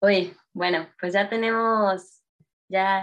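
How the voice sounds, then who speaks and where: In a Mexico City accent, a woman talks with ordinary pitch variation. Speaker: entrepreneur, game designer. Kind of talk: casual interview chat.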